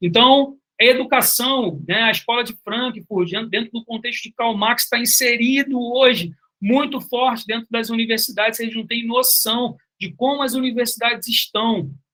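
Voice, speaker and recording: The voice is raised and projected, with a bright, sharp tone. Pitch variation is ordinary and the pace moderate. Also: man, extremely high pitch for a man. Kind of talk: online lecture.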